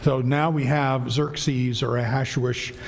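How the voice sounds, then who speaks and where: At a fairly slow pace, a man of medium pitch speaks through audible room echo and noticeable background noise. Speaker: Bible class teacher. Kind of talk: Bible class lecture. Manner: conversational, with many fillers.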